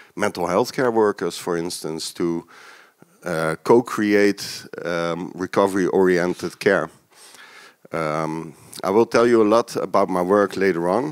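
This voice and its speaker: With a dry, close sound and no echo, a man speaks fairly slowly in a very deep, low pitch with ordinary pitch variation. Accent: Dutch. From Netherlands. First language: Dutch. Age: 40s. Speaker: peer support worker, keynote speaker. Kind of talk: lecture. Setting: stage with audience. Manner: hesitant, many fillers.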